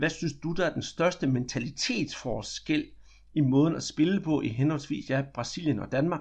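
A man talks at a fairly quick pace in a fairly high, somewhat breathy voice. His pitch variation is ordinary. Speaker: podcast host. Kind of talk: interview.

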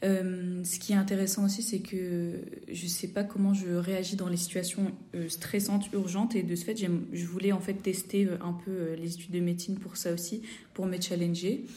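Amid audible room echo and noticeable background noise, a woman speaks at a medium pitch and moderate pace with flat, monotone intonation. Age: 20s. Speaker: fifth-year medical student. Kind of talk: casual interview.

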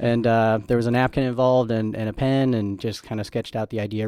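Over a very clean recording with a silent background, a man talks at a very fast pace in a dark, mellow tone of medium pitch with monotone, flat intonation. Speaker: combat veteran, nonprofit co-founder. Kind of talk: interview.

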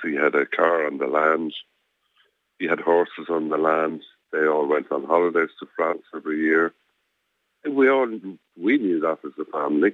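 A man with an Irish accent, very deep and low in pitch, at a moderate pace with ordinary pitch variation and long, frequent pauses. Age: 70s. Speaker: campaigner, victim's relative. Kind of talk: phone interview. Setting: phone call.

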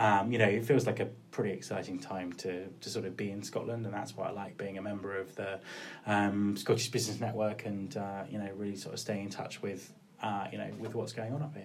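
Speaking with a southern English accent, a man talks at a fairly low pitch and a fairly quick pace. His intonation stays fairly even, and audible room echo surrounds him. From Cornwall and Kent coast, England. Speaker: recruitment consultant and podcaster. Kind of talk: interview. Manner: hesitant, with fillers and repetitions.

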